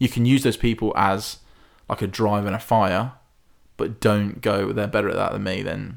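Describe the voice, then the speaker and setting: On a very clean recording with a silent background, a man with an English Midlands accent speaks at a moderate pace and fairly low pitch, in a flat monotone with vocal fry. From English Midlands, Hinckley. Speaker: stage performer and singer. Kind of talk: casual chat.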